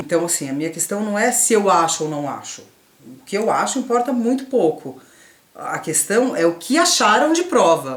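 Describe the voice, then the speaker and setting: Her pitch rising and falling over a very wide range, a woman speaks at a moderate pace. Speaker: youtuber. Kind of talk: didactic casual conversation. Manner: stutters sometimes.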